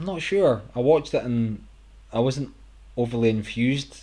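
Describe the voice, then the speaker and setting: A man's dark, mellow tone at a moderate pace. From Scotland. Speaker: gaming streamer. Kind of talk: casual live stream chat. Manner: casual, hesitant with fillers.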